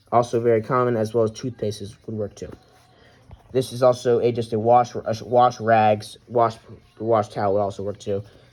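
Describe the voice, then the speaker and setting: A man talking at an average speed, his pitch in the middle range. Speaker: WWII reenactor. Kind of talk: show-and-tell tutorial.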